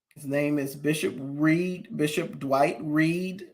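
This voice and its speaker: Audible room echo surrounds a voice that moves at a very slow pace with fairly even intonation. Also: man. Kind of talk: commentary livestream on hot topics.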